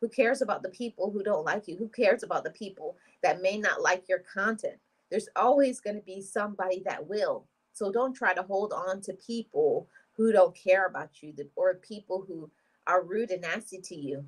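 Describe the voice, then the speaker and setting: A woman's voice at a fairly quick pace, with big swings in loudness and ordinary pitch variation. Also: medium pitch for a woman. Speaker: vlogger. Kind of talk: livestream chat with viewers. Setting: livestream. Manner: soft-spoken; motivational, encouraging.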